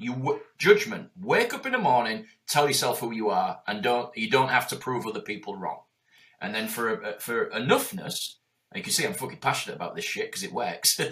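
Speaking in a Yorkshire accent, a man with a fairly high pitch talks at a moderate pace. His tone is animated, and his pitch swings very widely. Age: 40s. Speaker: entrepreneur. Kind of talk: interview.

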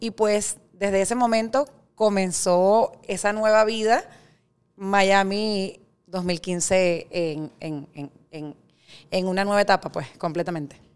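At a very slow pace, a woman speaks in a medium pitch. Her pitch variation is ordinary. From Venezuela. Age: 40s. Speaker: startup founder. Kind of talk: interview conversation.

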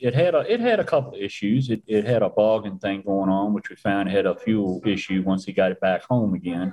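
This man has an ordinary speaking voice, pitched medium, with ordinary pitch variation and a moderate pace. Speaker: racing tech expert and driver. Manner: storyteller, folksy.

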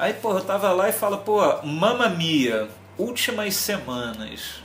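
Music plays in the background as a man speaks at a high pitch. His pitch swings very widely. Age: 40s. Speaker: music YouTuber. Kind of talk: casual chat.

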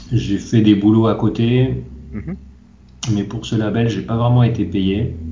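A man's fairly low voice with ordinary pitch variation, a very slow pace and audible room echo. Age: 40s. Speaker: manga translator. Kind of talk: interview. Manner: halting.

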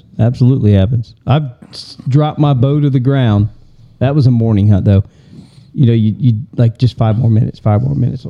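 With a Southern US accent, a man speaks at a fairly quick pace with long, frequent pauses, a medium pitch, ordinary pitch variation and very even loudness. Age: 50s. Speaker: podcast co-host. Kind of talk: casual chat.

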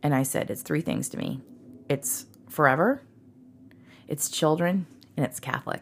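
A woman talks in a very deep, low voice with an American accent and vocal fry. Her pitch varies in an ordinary way, with long, frequent pauses. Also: moderate pace. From Texas, Dallas area. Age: 40s. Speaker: podcast guest. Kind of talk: casual chat.

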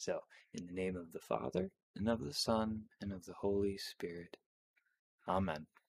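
The speech has a solemn tone, ordinary pitch variation and long, frequent pauses. The sound is dry and close with no echo. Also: man, fairly low pitch for a man. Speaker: podcast host. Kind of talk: fervent prayer, reverent devotional reading of the Stations of the Cross. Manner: slow, solemn, reverent; casual, chatty, laughs.

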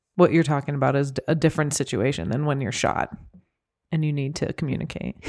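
Talking at a very fast pace, a woman uses a very deep, low pitch with vocal fry and ordinary pitch variation. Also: very clean recording, silent background. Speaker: podcast host. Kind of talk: casual chat.

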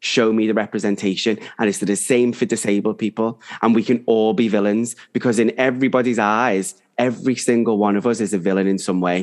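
With an ordinary speaking voice, a man talks at a medium pitch and a fairly quick pace. His intonation is fairly even, his loudness very even, and the background is quiet. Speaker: podcast co-host. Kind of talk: casual chat.

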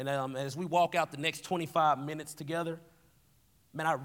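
A man with a Southern US accent at a moderate pace and fairly even intonation, on a very clean recording with a silent background. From Tennessee. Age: 20s. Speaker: youth pastor. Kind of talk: sermon. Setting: stage with audience.

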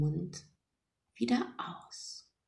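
A woman speaks at a very slow pace in a calm, gentle tone. Her voice is somewhat breathy. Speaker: meditation guide podcaster. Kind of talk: guided meditation. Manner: slow, soft, soothing; calm, gentle, hypnotic pacing with long pauses.

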